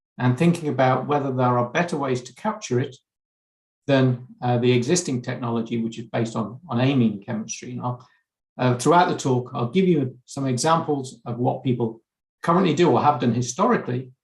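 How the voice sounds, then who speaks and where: A man's somewhat breathy, medium-pitched voice in an English accent, at a fairly quick pace. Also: ordinary pitch variation. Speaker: chemistry researcher. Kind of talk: conference lecture. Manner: hesitant, frequent fillers and repeats.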